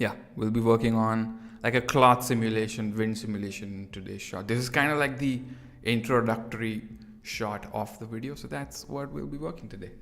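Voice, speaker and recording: A man talks at a fairly quick pace at a medium pitch, his loudness swinging widely. Audible echo fills the room. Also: ordinary pitch variation. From India. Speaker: 3D artist streamer. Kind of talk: live stream tutorial chat. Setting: near-empty room at home, live stream. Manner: casual, filler-heavy.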